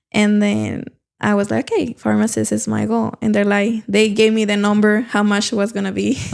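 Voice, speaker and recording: Delivery moves at a moderate pace. The voice carries a Mexican accent. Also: woman. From Mexico, Durango. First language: Spanish. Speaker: real estate agent. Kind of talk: casual interview. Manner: halting.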